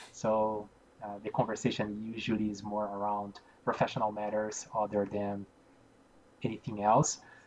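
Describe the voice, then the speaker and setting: The speaker is a man with a Portuguese accent. He talks at a fairly slow pace. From Brazil. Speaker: environmental engineer. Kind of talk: interview. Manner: halting, many fillers and repeats.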